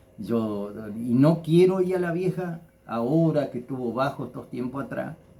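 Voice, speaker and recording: A man speaks at a moderate pace in a fairly high pitch. His tone is dark and mellow, with lively intonation. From Argentina, Entre Ríos (Federación). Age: 60s. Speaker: local personality, former builder. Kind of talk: interview, life story recollection. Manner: halting, many repetitions.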